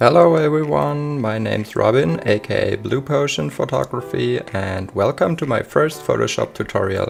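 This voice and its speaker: A man with a German accent at a moderate pace, hardly any pauses, and noticeable background noise. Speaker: photographer. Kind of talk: tutorial. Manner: hesitant, many fillers.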